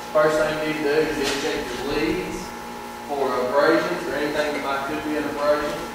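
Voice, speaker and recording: The pace is fairly quick. Loud background noise and audible room echo surround the voice. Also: man. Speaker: student demonstrator. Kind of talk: tutorial. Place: workshop. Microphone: camera far.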